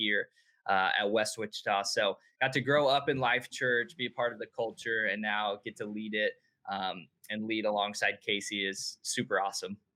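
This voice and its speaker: In an American accent, a man speaks with an ordinary speaking voice. His pace is moderate and his intonation fairly even. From Tulsa, Oklahoma. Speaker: youth pastor. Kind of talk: casual interview chat.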